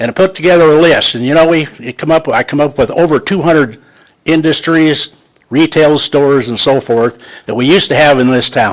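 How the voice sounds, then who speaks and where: The speaker is a man with a fairly high pitch. He moves along fairly quickly, and his pitch shifts in an ordinary way. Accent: Midwestern US. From central Iowa, US. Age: 80s+. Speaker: resident speaking at public comment. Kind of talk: public comment at city council meeting. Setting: city council chamber.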